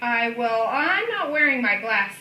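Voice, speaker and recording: In a put-on character voice, a woman talks at a moderate pace with a high pitch, and background noise is clearly heard. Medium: read story. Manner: gentle, hesitant.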